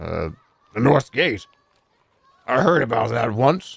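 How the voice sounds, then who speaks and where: A man's raspy put-on character voice at medium pitch and a fairly slow pace. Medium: game stream. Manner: vague, noncommittal.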